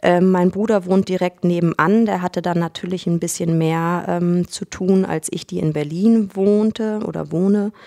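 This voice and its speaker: The recording is very clean with a silent background. A woman talks at a moderate pace with a fairly low pitch. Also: fairly even intonation. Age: 30s. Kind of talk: interview. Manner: halting, many fillers.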